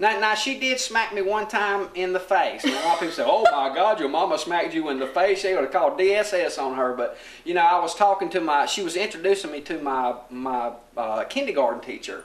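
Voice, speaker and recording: A man with a Southern US accent talks at a fairly quick pace in a high pitch with very wide pitch swings and hardly any pauses, over noticeable background noise. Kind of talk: casual chat.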